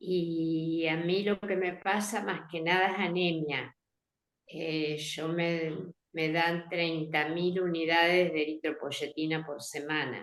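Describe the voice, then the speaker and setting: A woman's fairly low voice, very slow pace and fairly even intonation. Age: 70s. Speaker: patient. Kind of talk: patient question.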